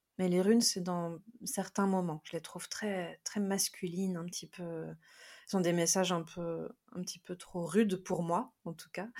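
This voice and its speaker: In a very clean recording with a silent background, a woman speaks at medium pitch and a fairly slow pace. Hers is a plain, everyday voice with fairly even intonation. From France. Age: 30s. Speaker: tarot reader. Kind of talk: interview.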